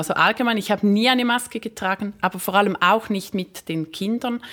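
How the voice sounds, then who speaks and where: Captured in a very clean recording with a silent background, a woman speaks at a fairly high pitch with ordinary pitch variation. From Switzerland. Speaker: magazine publisher, former primary school teacher. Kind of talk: interview. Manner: hesitant with fillers.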